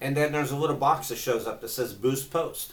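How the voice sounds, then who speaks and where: A man speaks at a fairly quick pace with a fairly high pitch. Room echo can be heard. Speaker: local social media marketer. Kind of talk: casual tutorial. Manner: fast; casual, conversational.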